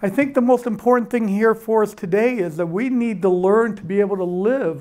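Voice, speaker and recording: At a moderate pace, a man talks with ordinary pitch variation against a quiet background. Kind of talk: public presentation remarks. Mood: warm, lightly humorous. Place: hall. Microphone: handheld.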